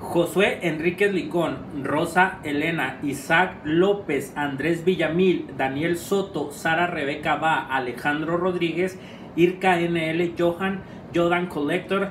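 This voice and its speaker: A man's high-pitched voice at a very slow pace, fairly even in intonation, with audible room echo and light background noise. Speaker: vlogger. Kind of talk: casual vlog chat. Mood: cheerful, laughing. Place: home room. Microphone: camera far.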